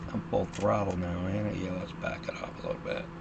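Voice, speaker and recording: This clip features a male speaker. Background noise can be clearly heard. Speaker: flight sim gamer. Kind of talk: casual gameplay commentary. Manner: halting, stumbles over words.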